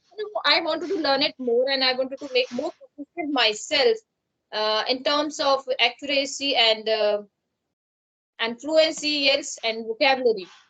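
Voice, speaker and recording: A woman's high-pitched, raised and projected voice with a Pakistani accent, ordinary pitch variation, a moderate pace and a dry, close sound with no echo. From India, Uttarakhand. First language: Pahari. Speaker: English learner. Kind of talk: conversation practice. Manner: halting.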